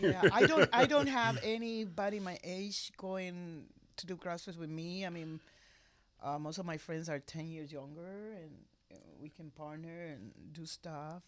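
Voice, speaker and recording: A woman with a Puerto Rican accent speaks at a fairly slow pace in a fairly low voice, with ordinary pitch variation and big swings in loudness, on a very clean recording with a silent background. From Puerto Rico. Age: 60s. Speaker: voiceover artist, retired TV worker. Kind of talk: podcast interview answer.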